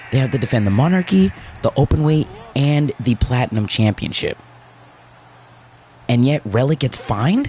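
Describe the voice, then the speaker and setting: A man at medium pitch and ordinary pitch variation, moderate pace with long, frequent pauses, dry, close sound with no echo, and noticeable background noise. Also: very even loudness. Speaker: gaming livestream host. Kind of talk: casual livestream commentary.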